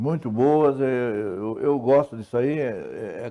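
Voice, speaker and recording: Over a quiet background, a man talks at a medium pitch with ordinary pitch variation. His tone is dark and mellow. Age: 70s. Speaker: retired civil engineer. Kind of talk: interview talk show. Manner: halting with repetitions.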